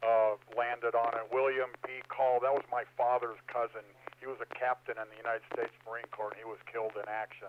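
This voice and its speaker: Amid noticeable background noise, a medium-pitched man speaks fairly quickly in a flat monotone, with big swings in loudness. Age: 60s. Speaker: amateur radio net control operator. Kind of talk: radio net discussion. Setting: amateur radio repeater. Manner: hesitant with many fillers.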